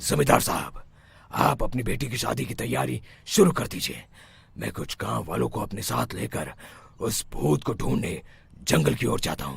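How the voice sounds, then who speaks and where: A man does a cartoonish character voice with a very deep, low pitch and very wide pitch swings. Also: moderate pace. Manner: authoritative, reassuring.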